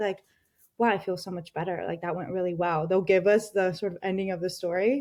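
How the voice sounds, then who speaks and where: In a Spanish accent, a woman talks at a very fast pace with a medium pitch. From Colombia, moved to US at ten. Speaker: mental health tech founder and CEO. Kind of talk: podcast interview.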